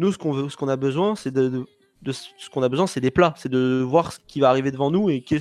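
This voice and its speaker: This man uses a normal speaking voice. It sits fairly high, and its pitch varies in an ordinary way. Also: fairly quick pace. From France, Paris. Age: 20s. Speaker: esports player. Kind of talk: podcast interview.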